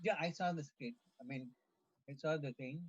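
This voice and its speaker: This man's voice is fairly high in pitch and somewhat breathy. His intonation is lively. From South India, near Tirupati. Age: 70s. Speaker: retiree at a devotional retreat. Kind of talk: casual chat.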